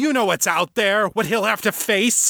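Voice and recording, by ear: A man's put-on character voice, high-pitched and growling with vocal fry, bright and sharp in tone, with ordinary pitch variation, in a dry, close sound with no echo on a very clean recording with a silent background. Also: moderate pace.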